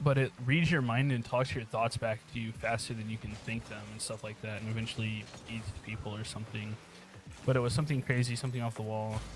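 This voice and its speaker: Music plays in the background as a man with an American accent speaks at a medium pitch. His pace is very fast. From United States. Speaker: aspiring streamer and youtuber. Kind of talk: casual monologue over gameplay. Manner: rambling, hesitant with fillers.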